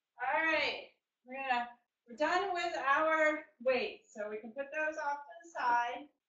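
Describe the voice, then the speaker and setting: Over a quiet background with audible room echo, a woman talks very slowly in a raised, projected voice, upbeat and bright with a sharp tone, her high pitch paired with big swings in loudness. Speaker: fitness instructor. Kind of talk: live online group fitness class, cueing exercises. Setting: online video class. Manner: upbeat, encouraging, brisk rhythmic cues with counting; clear and instructive, praising with 'good'. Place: home room. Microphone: webcam.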